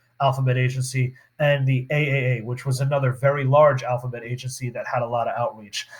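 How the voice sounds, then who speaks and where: Somewhat breathy and monotone, a man talks at a fairly quick pace in a medium pitch with flat intonation. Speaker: high school history teacher. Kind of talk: recorded lecture over slides. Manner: casual with many fillers; fast.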